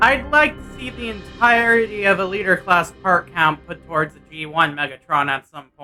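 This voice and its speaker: Moderate pace with hardly any pauses, over music in the background. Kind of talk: toy review. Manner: casual.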